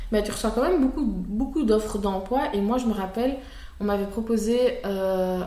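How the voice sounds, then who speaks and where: A woman with a medium pitch talks at a moderate pace, her intonation fairly even. Noticeable background noise and audible room echo come through. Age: 20s. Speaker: content creator. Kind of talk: testimony.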